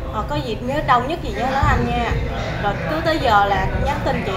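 A woman talks at a moderate pace with clear music playing behind her. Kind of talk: interview answer. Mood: warm, appreciative. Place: gym. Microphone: lapel.

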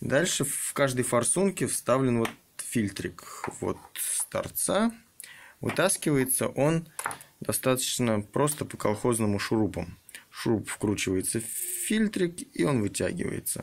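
A man at a very slow pace, with big swings in loudness and light background noise. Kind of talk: tutorial. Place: garage. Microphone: phone near.

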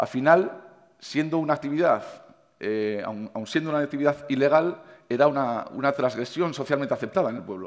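A man speaks at a very fast pace with ordinary pitch variation. The background is quiet. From Navarre, Spain. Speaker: chef. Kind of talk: conference talk. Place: stage. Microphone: headset.

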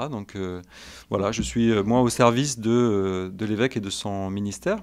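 The background is quiet as a man speaks with a fairly low voice and ordinary pitch variation. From France, Valence area (Drôme); Drôme, France. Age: 40s. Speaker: priest. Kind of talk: interview; interview answer. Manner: halting, many hesitations. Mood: calm, earnest, modest. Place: studio. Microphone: studio mic.

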